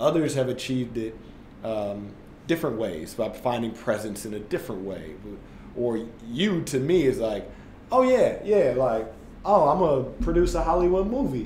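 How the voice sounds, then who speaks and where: With an American accent, a man speaks at a moderate pace in a somewhat breathy voice, his pitch swinging very widely, with audible room echo and light background noise. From US Midwest, St. Louis area; US Midwest. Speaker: former basketball player turned tech entrepreneur; podcast guest. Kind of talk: casual interview. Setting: studio, in person. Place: meeting room.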